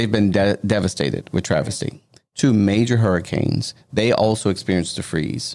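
Even in loudness throughout, a man with vocal fry and a fairly low pitch with ordinary variation talks at a moderate pace. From Louisiana. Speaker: anti-trafficking nonprofit founder. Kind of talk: interview.

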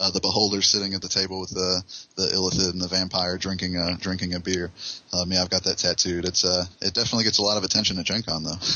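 Noticeable background noise sits under a man talking very fast in a very deep, low voice with monotone, flat intonation. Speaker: game designer. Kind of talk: casual interview chat. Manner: fast talker.

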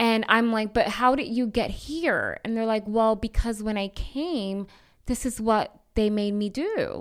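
Her fairly high pitch moves with ordinary variation, an ordinary speaking voice from a woman. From Bronx, New York (Puerto Rican family). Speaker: anti-trafficking missionary. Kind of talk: testimony.

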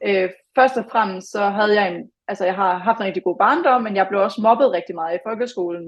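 A woman's unremarkable speaking voice, medium in pitch, fairly quick, with ordinary pitch variation. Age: 20s. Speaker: former fitness competitor. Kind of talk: podcast interview.

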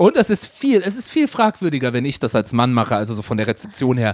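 The sound is dry and close, free of echo. A man's pitch swings very widely as he speaks at a fairly quick pace. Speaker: podcast co-host, media producer. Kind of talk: casual chat.

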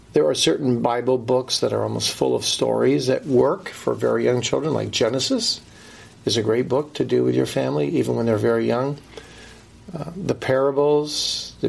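A man keeps a moderate speed while noticeable noise sits in the background. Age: middle-aged. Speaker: pastor and author. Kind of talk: interview.

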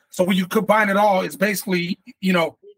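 Using a Chicago accent, a man talks at a very fast pace. His pitch is high, with ordinary variation. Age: 30s. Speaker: rapper. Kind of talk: casual interview chat.

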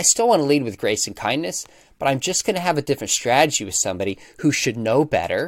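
Over a silent background in a very clean, dry, close recording with no echo, a man speaks at a medium pitch with lively intonation in an unremarkable speaking voice. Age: 40s. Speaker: apologetics professor and author. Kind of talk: interview.

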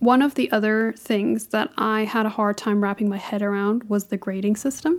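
In a plain, everyday voice, a woman speaks at a moderate pace and fairly high pitch, with ordinary pitch variation, hardly any pauses and very even loudness. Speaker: podcast co-host, international student. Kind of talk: casual chat.

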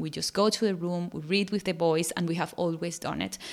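A woman talks at a fairly quick pace with a Spanish accent. Her pitch sits in the medium range. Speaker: parenting podcaster. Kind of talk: solo podcast talk.

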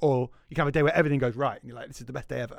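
A man speaks in a Scouse accent. His voice sits at a medium pitch. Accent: Scouse (Liverpool) English. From Liverpool, England. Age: 30s. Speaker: game store owner. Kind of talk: casual chat.

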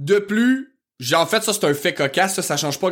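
With a strong Quebec accent, a man speaks in an animated tone at a moderate pace with ordinary pitch variation in a very clean recording with a silent background. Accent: strong rural Québécois. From rural Quebec. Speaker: history podcast host. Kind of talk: casual podcast monologue.

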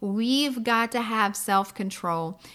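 A woman's fairly high voice with ordinary pitch variation and a warm, upbeat tone, on a very clean recording with a silent background. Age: 40s. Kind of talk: devotional teaching podcast. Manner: warm and upbeat.

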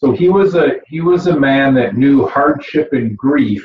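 Lively intonation marks this voice with a Midwestern American accent. The pace is fairly slow. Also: man. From Michigan, Flint area. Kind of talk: interview. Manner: halting, many repetitions and fillers.

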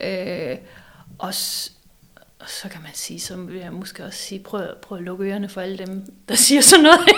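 Against noticeable background noise, a woman at a medium pitch with ordinary pitch variation shows big swings in loudness. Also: moderate pace. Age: 40s. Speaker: psychology professor and design school rector. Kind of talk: casual chat. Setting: office of a publishing house.

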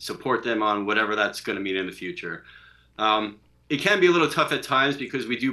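Someone with an American accent talks at a fairly quick pace with lively intonation. It is an unremarkable speaking voice. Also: man. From Long Island, New York. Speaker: father and remote worker. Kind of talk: casual chat.

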